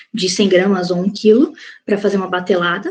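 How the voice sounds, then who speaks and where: This is a woman talking. She sounds somewhat breathy. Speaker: cosmetics formulation chemist, guest speaker. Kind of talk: online lecture.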